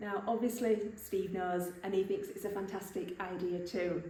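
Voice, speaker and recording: A woman's medium-pitched, flat, monotone voice with an English accent, fairly slow in pace, amid noticeable background noise and audible room echo. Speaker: vlogger. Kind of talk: vlog. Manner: whispering.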